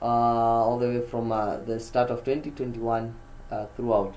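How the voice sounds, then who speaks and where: Audible room echo colors this recording. A man speaks at a medium pitch. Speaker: forex trader streamer. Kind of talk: live market commentary. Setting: live stream.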